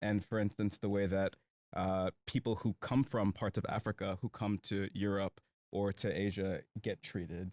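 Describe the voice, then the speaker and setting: Recorded very cleanly against a silent background, with a dry, close sound and no echo, a man with an American accent speaks in an ordinary speaking voice, fairly low in pitch, at a moderate pace. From United States. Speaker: podcast host. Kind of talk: casual chat.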